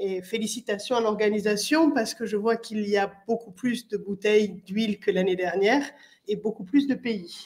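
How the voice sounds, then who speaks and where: A somewhat breathy female voice with ordinary pitch variation against a quiet background. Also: fairly high pitch for a woman, moderate pace. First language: French (speaking Italian). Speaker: municipal councillor. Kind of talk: welcome speech. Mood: warm, welcoming. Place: hall. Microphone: podium.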